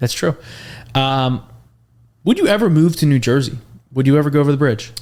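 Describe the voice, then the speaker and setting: Speaking at a fairly quick pace with an American accent, a man with a fairly high pitch and a plain, everyday voice keeps a very even loudness and ordinary pitch variation. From Philadelphia area, US. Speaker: podcast host. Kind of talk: casual interview chat.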